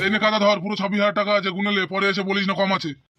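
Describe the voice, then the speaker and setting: A man's put-on, gruff character voice, high-pitched and raised to project, at a very fast pace in a monotone, flat intonation. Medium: cartoon. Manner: gruff, foul-mouthed.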